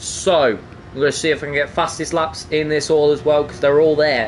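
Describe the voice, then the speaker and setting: A man talks in an East Midlands accent at a fairly high pitch. Noticeable background noise sits behind him. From England, East Midlands (Nottingham). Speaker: sim racing commentator. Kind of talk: live commentary. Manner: animated.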